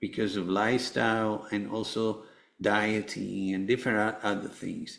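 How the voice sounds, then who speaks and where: Fairly low-pitched, a man talks at a fairly slow pace with fairly even intonation. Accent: Spanish. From Venezuela, Caracas. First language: Spanish. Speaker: cancer survivor and author. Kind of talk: interview testimony. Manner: halting, many fillers.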